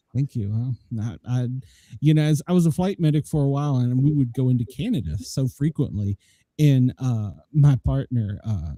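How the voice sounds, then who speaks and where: Somewhat breathy and dark, mellow in tone, a man with a Southern US accent speaks at a medium pitch with lively intonation, the sound dry and close with no echo. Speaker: podcast host, former flight medic. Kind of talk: casual chat.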